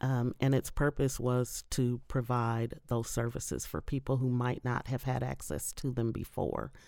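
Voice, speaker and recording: Speaking at a fairly slow pace with hardly any pauses, a woman with a Midwestern US accent is heard on a very clean recording with a silent background. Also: very even loudness. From Indiana, Indianapolis. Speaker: higher education worker and voter. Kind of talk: interview. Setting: studio.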